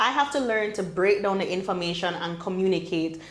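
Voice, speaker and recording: A woman with a Jamaican accent speaks at a medium pitch amid audible room echo and noticeable background noise. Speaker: medical doctor and entrepreneur. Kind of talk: podcast interview. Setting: in-person recording on a campus in Jamaica.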